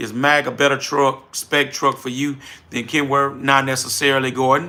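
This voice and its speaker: An animated voice with a New Orleans accent at a moderate pace, amid noticeable background noise. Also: man. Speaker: trucking business owner, livestream host. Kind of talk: livestream chat reading viewer comments. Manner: casual, animated.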